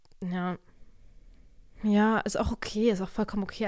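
A woman's dark, mellow tone at a fairly quick pace. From Germany. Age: 20s. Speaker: podcaster and student. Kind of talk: casual solo chat. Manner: animated. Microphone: new podcast microphone.

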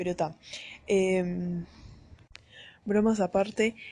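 A woman's dark, mellow voice at a very slow pace, against a quiet background. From Brazil and Uruguay. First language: Portuguese (speaking Spanish). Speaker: podcast host. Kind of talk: casual monologue. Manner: animated.

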